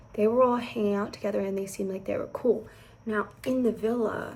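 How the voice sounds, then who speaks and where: This woman is soft-spoken. Her pitch sits fairly high. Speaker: beauty and reality TV vlogger. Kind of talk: casual chat. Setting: at home indoors.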